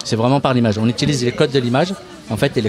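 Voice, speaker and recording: Noticeable background noise sits behind a man talking very fast. His pitch is medium with ordinary variation. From Paris suburbs (Seine-Saint-Denis). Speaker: youth media association worker. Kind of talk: radio interview. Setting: outdoor live radio broadcast at a bar, in the rain. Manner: casual, hesitant with many fillers.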